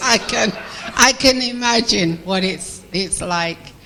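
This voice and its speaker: A woman's very slow speech with lively intonation over noticeable background noise. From Grenada. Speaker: audience member giving feedback. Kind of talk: spoken feedback after a show.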